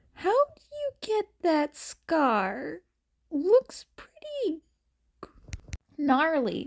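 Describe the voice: Using a put-on character voice, a woman speaks very slowly in a high pitch with vocal fry and very wide pitch swings.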